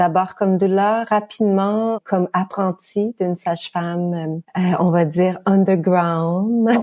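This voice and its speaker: A woman speaks at a very slow pace with hardly any pauses, in a Quebec accent, her medium-pitched voice dark and mellow with fairly even intonation. Her loudness stays very even, and the sound is dry and close with no echo. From Quebec, Canada. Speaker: midwife. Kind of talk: podcast interview. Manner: hesitant with fillers.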